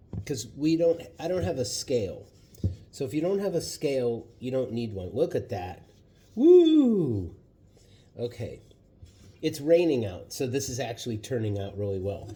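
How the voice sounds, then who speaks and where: Somewhat breathy and dark, mellow in tone, a man at medium pitch speaks at a moderate pace with very wide pitch swings and long, frequent pauses. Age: 60s. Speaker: vlogger. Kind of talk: cooking tutorial. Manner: casual, hesitant with fillers.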